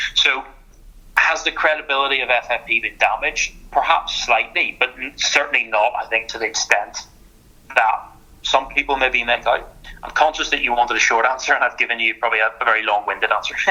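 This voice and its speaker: A man with a Northern Irish accent at a medium pitch, fairly quick and with fairly even intonation. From Northern Ireland. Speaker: sports lawyer. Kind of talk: podcast interview. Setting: podcast. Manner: halting, many repetitions.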